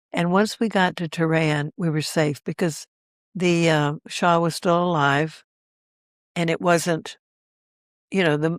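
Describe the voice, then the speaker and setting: At a very slow pace, a woman speaks with ordinary pitch variation in a dry, close sound with no echo. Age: 80s+. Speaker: world traveler sharing memories. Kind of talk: interview storytelling. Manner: halting.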